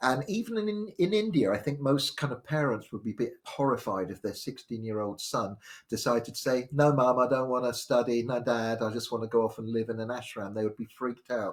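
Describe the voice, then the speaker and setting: A man with a southern English accent speaks at a fairly quick pace and medium pitch with ordinary pitch variation, hardly any pauses, on a very clean recording with a silent background. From southwest London, England. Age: 60s. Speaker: spiritual storyteller. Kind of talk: live stream talk. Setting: live stream from home. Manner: halting.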